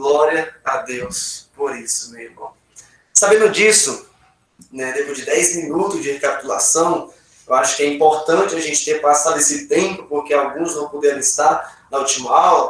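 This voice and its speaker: A man with a plain, everyday voice and fairly high pitch talks at a moderate pace. His pitch varies in an ordinary way while his loudness swings widely. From Brazil, Acre. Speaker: pastor, Bible teacher. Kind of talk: Bible study class. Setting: video call.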